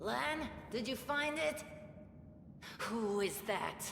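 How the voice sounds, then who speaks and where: A put-on character voice at a fairly high pitch, speaking at a very slow pace over clear background noise with a slight echo. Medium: video game. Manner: scornful, haughty.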